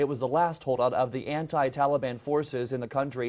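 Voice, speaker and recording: In an ordinary speaking voice, the speaker moves at a fairly quick pace with fairly even intonation. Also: man. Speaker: TV news anchor. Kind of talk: live morning news anchoring. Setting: studio.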